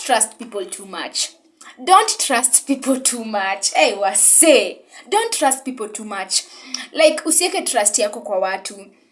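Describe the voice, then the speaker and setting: Her pitch swings very widely. The woman talks at a very slow pace. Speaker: vlogger. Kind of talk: casual advice vlog.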